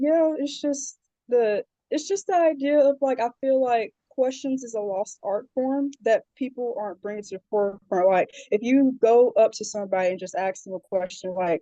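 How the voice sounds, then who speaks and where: A woman with a Southern US accent at a high pitch, dark and mellow in tone, with lively intonation at a moderate pace, in a dry, close sound with no echo. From South Carolina, Charleston area. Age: 20s. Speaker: social media community creator. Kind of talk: interview.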